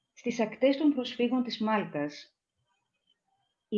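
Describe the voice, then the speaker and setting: A dark, mellow tone with a Greek accent. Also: woman. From Greece. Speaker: poet. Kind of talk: poetry reading. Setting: video call.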